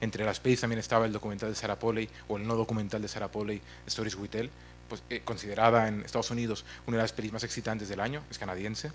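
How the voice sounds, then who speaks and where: With music in the background, a man with a fairly low pitch speaks very fast in a monotone, flat intonation. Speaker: film platform executive. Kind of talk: conference talk. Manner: mumbling.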